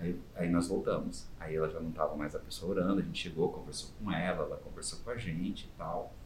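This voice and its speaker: In a room with audible echo, a man talks at a fairly quick pace with hardly any pauses. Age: 40s. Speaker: volunteer costumed superhero, NGO founder. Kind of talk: interview.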